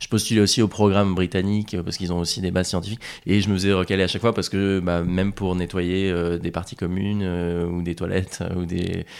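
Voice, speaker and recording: At a very fast pace, a man talks in a very deep, low pitch with monotone, flat intonation. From Normandy, France. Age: 20s. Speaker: adventurer and polar explorer. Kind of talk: interview.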